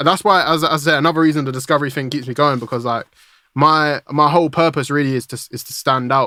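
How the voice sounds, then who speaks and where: Over a silent background in a very clean recording, a man with a British accent talks at a very fast pace, his fairly high pitch held in fairly even intonation. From UK. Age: 20s. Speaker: music producer. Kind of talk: casual interview chat. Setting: podcast interview.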